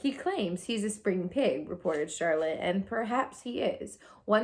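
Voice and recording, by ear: Someone is reading aloud in a natural voice. The intonation is lively.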